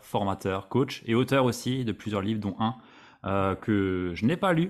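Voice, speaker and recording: A man in an ordinary speaking voice at a moderate pace, in a very clean recording with a silent background. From Alsace, France. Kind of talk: interview podcast.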